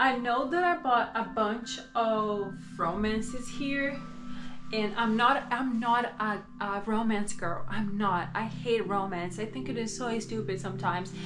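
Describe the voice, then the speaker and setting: Over music in the background and audible room echo, a woman with a Portuguese accent speaks at a fairly slow pace with a fairly high pitch and lively intonation. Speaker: booktuber. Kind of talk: casual vlog chat. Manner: soft-spoken; halting, many fillers.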